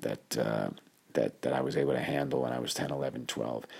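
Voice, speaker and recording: With a New York accent, this man talks in a very deep, low-pitched voice. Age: 50s. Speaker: doctor and podcast host. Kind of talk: casual storytelling monologue. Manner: hesitant, many fillers.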